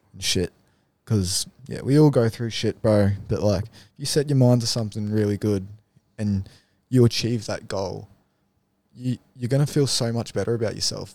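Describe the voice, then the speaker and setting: Long, frequent pauses break up a man's moderate pace as he talks with an Australian accent, a medium pitch and ordinary pitch variation, in a very clean recording with a silent background. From Darwin, northern Australia. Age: 20s. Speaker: removalist. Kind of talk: casual chat.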